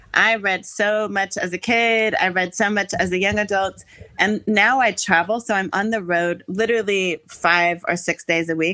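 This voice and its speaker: Speaking at a moderate pace with an American accent, a woman has a medium pitch, a bright, sharp tone, very even loudness and hardly any pauses. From United States. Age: 40s. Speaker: school assembly speaker and equity trainer. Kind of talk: casual interview chat. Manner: animated.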